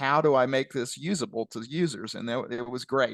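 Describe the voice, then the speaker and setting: With a Southern Illinois accent, a man speaks at a moderate pace and medium pitch with ordinary variation, in a dry, close sound with no echo over a quiet background. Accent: Southern Illinois, southern-sounding. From US Midwest, west central Illinois. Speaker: retired statistician, company founder. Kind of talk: webinar Q&A.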